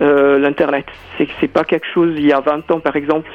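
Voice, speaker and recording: There is noticeable background noise. Through it, a man's voice can be heard. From South Africa. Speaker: choreographer and dancer. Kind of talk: radio interview. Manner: halting, many hesitations.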